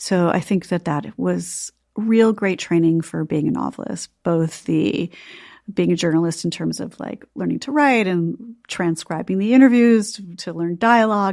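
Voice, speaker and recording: On a very clean recording with a silent background, a woman speaks in an ordinary speaking voice. Her pitch is fairly low, her intonation lively and her pace moderate. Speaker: novelist and former journalist. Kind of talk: interview.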